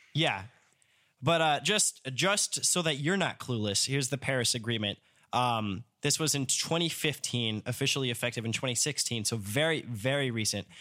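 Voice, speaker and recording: This man talks at a moderate pace in a bright, sharp tone with lively intonation and very even loudness, on a very clean recording with a silent background. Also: medium pitch for a man. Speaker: podcast host, music student. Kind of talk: casual chat. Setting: studio.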